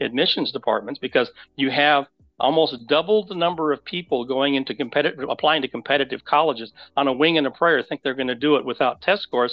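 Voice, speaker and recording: A man's normal speaking voice, fairly high in pitch, with ordinary pitch variation. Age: 60s. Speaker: college admissions consultant. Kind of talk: interview.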